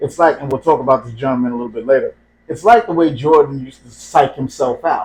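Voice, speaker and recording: A somewhat breathy, fairly high male voice at a very fast pace, with ordinary pitch variation and big swings in loudness. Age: middle-aged. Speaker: podcast co-host. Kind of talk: casual chat.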